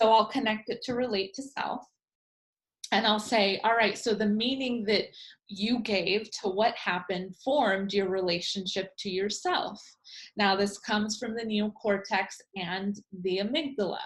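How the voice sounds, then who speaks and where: Delivered at a moderate pace with ordinary pitch variation, the somewhat breathy voice sits on a very clean recording with a silent background. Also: woman. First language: Spanish. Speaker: life coach trainer. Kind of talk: lecture.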